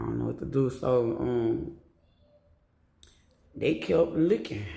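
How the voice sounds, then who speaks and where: A man speaks at a moderate pace with an American accent. Room echo can be heard around his voice. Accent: New Orleans accent, now reduced. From New Orleans, US South. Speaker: storyteller vlogger. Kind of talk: personal storytelling. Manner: casual, profane.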